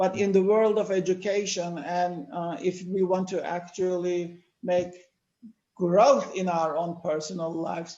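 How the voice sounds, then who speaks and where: In a Turkish accent, the speaker moves at a fairly slow pace. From Turkey. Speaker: educator with psychology background. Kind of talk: panel discussion talk.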